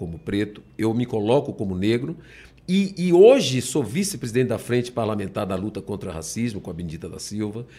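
On a very clean recording with a silent background, a man at a medium pitch speaks at a moderate pace with very wide pitch swings. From Bahia, Salvador. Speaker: politician. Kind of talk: interview.

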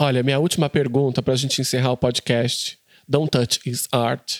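A man speaks in a very clean recording with a silent background. The sound is dry and close, with no echo. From interior of Brazil. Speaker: journalist and podcast host. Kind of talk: interview.

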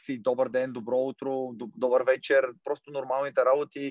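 A man talks at a moderate pace in a monotone, flat intonation, the sound dry and close with no echo. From Bulgaria, Kozloduy. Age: 20s. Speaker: football goalkeeper. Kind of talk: interview.

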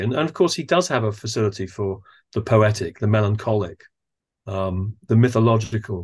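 Over a quiet background, a man speaks in a somewhat breathy voice. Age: 60s. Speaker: theatre director and actor. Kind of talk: casual interview conversation.

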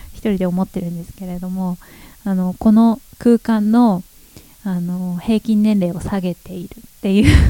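A woman's animated voice at medium pitch and a moderate pace. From Japan, Chiba Prefecture (Sosa City). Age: 30s. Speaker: local newspaper editor and calligraphy teacher. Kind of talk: casual solo podcast talk. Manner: animated, frequent laughter; many fillers and hesitations.

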